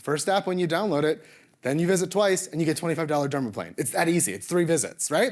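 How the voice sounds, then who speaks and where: The recording is very clean, with a silent background. A man speaks in an animated tone at a high pitch. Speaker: medical spa co-owner, conference speaker. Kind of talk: conference presentation. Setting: stage with audience. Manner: fast.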